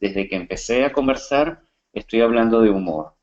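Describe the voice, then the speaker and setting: With a Venezuelan accent, a man talks at a moderate pace and a medium pitch, his intonation lively. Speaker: coach and comedian. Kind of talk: webinar presentation. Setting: online webinar.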